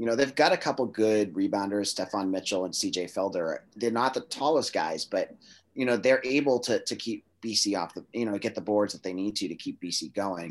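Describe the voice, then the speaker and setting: This is an unremarkable speaking voice with ordinary pitch variation. It moves at a fairly quick pace with hardly any pauses. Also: man, fairly low pitch for a man. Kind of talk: casual radio interview.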